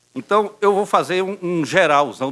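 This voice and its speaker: A man speaks at a fairly slow pace with ordinary pitch variation. His tone is bright and sharp. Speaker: neurologist professor. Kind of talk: medical lecture. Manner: halting, many fillers.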